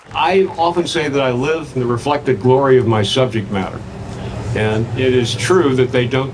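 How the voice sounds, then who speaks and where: With an American accent, a man speaks at a fairly quick pace and medium pitch, amid noticeable background noise and audible room echo. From US Midwest, St. Louis. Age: 80s+. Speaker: sculptor. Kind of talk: interview.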